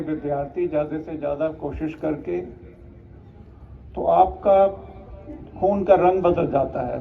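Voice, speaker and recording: The speaker is a man. His pitch shows ordinary variation. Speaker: retired army officer, chief guest. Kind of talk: ceremonial speech.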